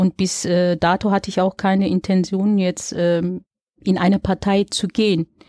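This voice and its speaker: A woman with a dark, mellow tone speaks at a medium pitch and a fairly slow pace, the sound dry and close with no echo. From Germany, Dortmund (Ruhr area). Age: 40s. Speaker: local election candidate and social worker. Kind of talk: interview. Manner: hesitant with fillers.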